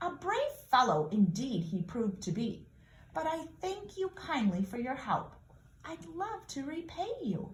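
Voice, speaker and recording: This is a put-on character voice with very wide pitch swings. The pace is fairly slow. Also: woman, high pitch for a woman. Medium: read story.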